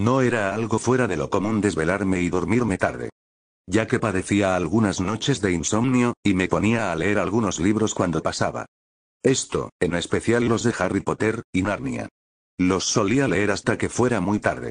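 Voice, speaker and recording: A fairly low-pitched man with vocal fry, ordinary pitch variation and very even loudness, at a moderate pace over a quiet background. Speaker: gaming youtuber. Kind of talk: ghost story telling, creepypasta narration.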